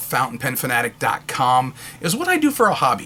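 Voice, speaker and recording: Fairly quick speech from a man, with noticeable background noise behind it. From New Hampshire, New England. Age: 50s. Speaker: local political candidate. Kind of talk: campaign video monologue. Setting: home office.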